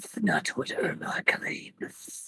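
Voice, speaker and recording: Whispering in a raspy, put-on character voice, the speaker delivers the lines. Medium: actual play. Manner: bitter, curt.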